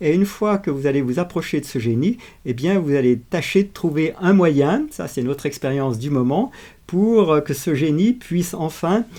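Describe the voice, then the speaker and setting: On a very clean recording with a silent background, a man with a fairly high pitch and a dark, mellow tone speaks at a moderate pace with lively intonation. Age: 70s. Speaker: video channel host. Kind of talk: reflective monologue. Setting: outdoors on a walk. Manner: hesitant with frequent fillers.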